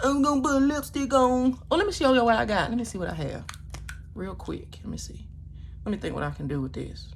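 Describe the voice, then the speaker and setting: A woman talks very fast, her loudness swinging widely. Noticeable background noise and audible room echo fill the recording. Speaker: beauty vlogger. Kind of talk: casual makeup tutorial talk. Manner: animated.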